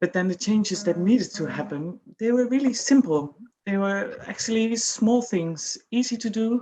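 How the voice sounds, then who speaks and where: The speaker has a Dutch accent and a dark, mellow tone. Delivery is somewhat breathy at a moderate pace. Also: woman, fairly high pitch for a woman, ordinary pitch variation. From Netherlands. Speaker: employer. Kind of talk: panel discussion.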